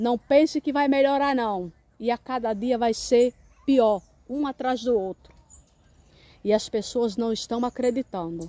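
A woman with a high pitch and a dark, mellow tone, ordinary pitch variation, a very slow pace and a dry sound with no echo. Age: 50s. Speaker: preacher. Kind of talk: sermon. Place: open country. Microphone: phone near.

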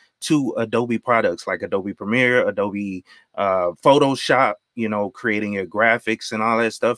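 Over a quiet background, a man speaks at a moderate pace with ordinary pitch variation, and the sound is dry with no echo. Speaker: IT professional and tech YouTuber; tech YouTuber. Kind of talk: casual live stream chat. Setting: video call. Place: home room. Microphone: studio mic.

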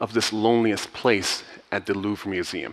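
A man is talking. His voice sits fairly low. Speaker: conference speaker. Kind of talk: keynote talk. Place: stage. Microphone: headset.

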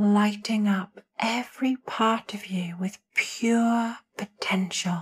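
Somewhat breathy and at a fairly high pitch, a woman speaks at a very slow pace in a soothing, calm tone, with fairly even intonation and hardly any pauses. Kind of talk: guided meditation. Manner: soothing, slow, calm.

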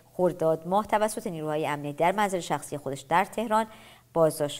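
A woman speaks at a very fast pace and a fairly low pitch. The recording is very clean, with a silent background. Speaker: TV presenter. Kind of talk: TV news magazine presenting.

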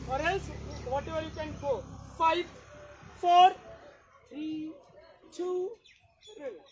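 In an Indian accent, the speaker talks at a very slow pace with a warm tone and long, frequent pauses over light background noise. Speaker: fitness instructor. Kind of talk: live online fitness class, leading a workout. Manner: brisk rhythmic rep counting, commanding cues; encouraging, warm, code-switching Hindi and English. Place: open country. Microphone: camera far.

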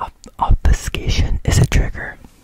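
A man whispers at a moderate pace in a dry sound with no echo. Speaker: ASMR creator. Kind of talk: soft ASMR talk to viewers. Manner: close whisper with hair-scratch sounds. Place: home room. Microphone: studio mic.

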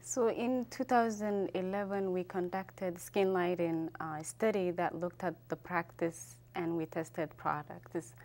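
Her pitch is fairly low, with ordinary variation. A woman with an American accent speaks at a very slow pace. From Somalia, left young, grew up in US. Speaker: public health researcher; public guest. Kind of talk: interview. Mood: calm, informative. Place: studio. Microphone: lapel.

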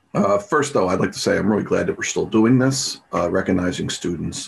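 With very wide pitch swings, a man talks in a somewhat breathy voice at a fairly quick pace. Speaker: math teacher. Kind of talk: tribute speech. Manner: halting. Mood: warm, encouraging. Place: home room. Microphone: webcam.

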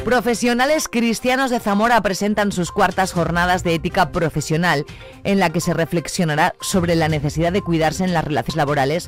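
Speech at a fairly quick pace comes through dry with no echo, with faint music in the background. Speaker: radio news presenter. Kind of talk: news reading. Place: studio.

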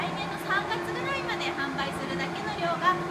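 A woman's moderate-paced speech comes through over loud background noise. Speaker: brewery tour guide. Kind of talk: guided tour explanation. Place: factory. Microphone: phone near.

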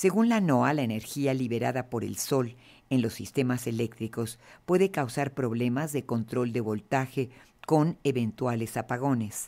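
On a very clean recording with a silent background, the talking proceeds fairly slowly. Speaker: news anchor. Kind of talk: news reading.

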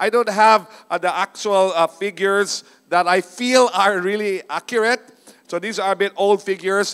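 Intonation stays fairly even and the pace is moderate. The background is quiet. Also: man. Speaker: preacher. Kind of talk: sermon. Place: stage. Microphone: handheld.

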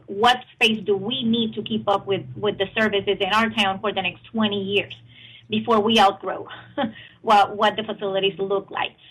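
At a moderate pace, a woman talks in a medium-pitched, fairly bright voice with a slightly husky edge and little pitch movement.

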